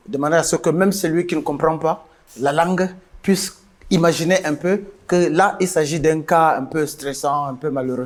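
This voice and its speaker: A man speaks with a Cameroonian accent at a moderate pace. His intonation stays fairly even. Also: fairly high pitch for a man. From northern Cameroon, Mayo-Louti. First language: Guidar (speaking French). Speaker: musician. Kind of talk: interview.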